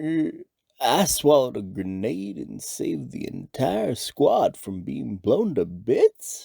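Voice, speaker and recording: Putting on a croaky character voice, a man speaks at a fairly slow pace. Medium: cartoon. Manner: rambling.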